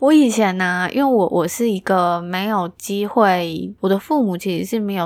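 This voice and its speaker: Woman with an ordinary speaking voice, medium pitch, ordinary pitch variation and a fairly slow pace. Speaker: podcast host. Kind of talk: casual solo chat, answering listener messages.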